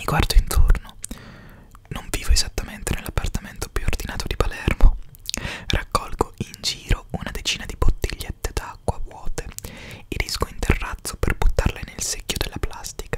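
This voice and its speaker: A man whispers at a moderate pace, leaving long, frequent pauses. His loudness swings widely. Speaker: reader. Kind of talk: reading a narrative text aloud. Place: home room. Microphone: studio mic.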